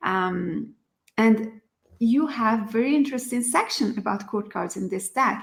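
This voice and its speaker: A woman speaks with a non-native accent at a fairly slow pace. Her voice is somewhat breathy and fairly high, with ordinary pitch variation. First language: not English. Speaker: tarot teacher and online study group leader. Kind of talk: tutorial. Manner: halting, with many fillers.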